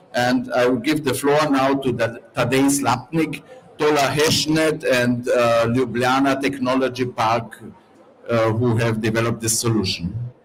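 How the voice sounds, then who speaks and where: A man with a medium pitch talks at a fairly slow pace, using fairly even intonation and very even loudness. The room echo is audible and the background noise noticeable. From Carinthia, Austria (Slovene minority). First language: Slovene. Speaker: event host, civil society organizer. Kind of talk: event presentation. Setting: conference pavilion.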